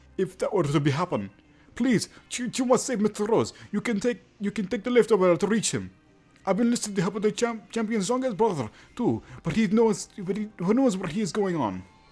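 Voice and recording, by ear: A man's put-on character voice, high-pitched and strained, at a fairly quick pace with faint music in the background.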